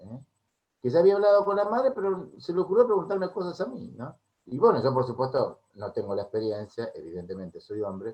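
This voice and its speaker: A man talks with an Argentine accent. His loudness swings widely. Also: fairly quick pace. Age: 60s. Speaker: music therapist. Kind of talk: interview.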